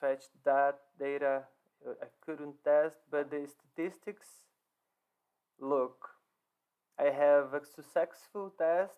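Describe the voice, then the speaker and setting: Very slow delivery with fairly even intonation and long, frequent pauses. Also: man, fairly high pitch for a man. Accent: non-native. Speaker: software developer. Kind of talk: code walkthrough presentation. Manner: halting, with fillers and repetitions.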